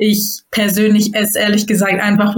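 Speaking at a moderate pace, a woman uses a somewhat breathy voice of medium pitch. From northern Germany, near Hamburg. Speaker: judo athlete. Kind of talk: interview.

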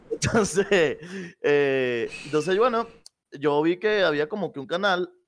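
A man's voice with very wide pitch swings, on a very clean recording with a silent background. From Venezuela. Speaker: esports caster. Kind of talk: casual chat.

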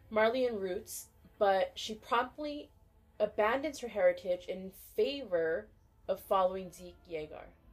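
A woman's fairly high voice at a moderate pace, with music in the background. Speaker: podcast co-host. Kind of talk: casual chat about anime.

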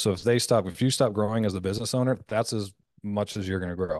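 At a fairly quick pace, a man with a Canadian accent uses an unremarkable speaking voice at a fairly low pitch. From Canada. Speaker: business coach and former pro fighter. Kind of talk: casual interview.

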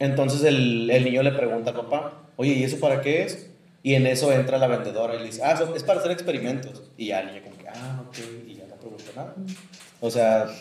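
Speaking at a very fast pace with a Mexican accent, a man uses a medium pitch and ordinary pitch variation, with big swings in loudness. Noticeable background noise and audible room echo fill the recording. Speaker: podcast host. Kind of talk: casual chat.

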